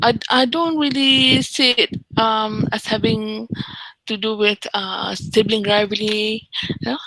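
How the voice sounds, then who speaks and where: A woman with an unremarkable speaking voice talks at a fairly slow pace in a fairly high pitch, with ordinary pitch variation. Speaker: university lecturer. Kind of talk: lecture.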